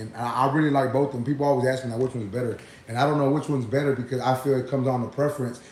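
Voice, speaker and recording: Over noticeable background noise, a man with an American accent speaks at a medium pitch with fairly even intonation. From Texas. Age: 30s. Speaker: barber and YouTuber. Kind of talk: live stream Q and A. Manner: casual, repetitive filler.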